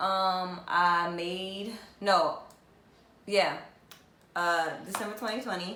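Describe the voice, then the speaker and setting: Amid noticeable background noise and audible room echo, a woman with an American accent talks at a very slow pace with fairly even intonation. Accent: Southern US accent that comes and goes. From US South, South Carolina. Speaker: vlogger. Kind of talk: casual vlog storytelling. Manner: hesitant, many fillers.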